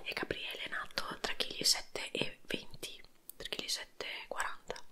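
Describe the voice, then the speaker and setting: A woman whispering at a fairly quick pace. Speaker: ASMR and mukbang content creator. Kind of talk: casual talk to camera while eating, couple mukbang. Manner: conversational, chatty, telling a birth story. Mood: relaxed storytelling. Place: home room. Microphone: handheld.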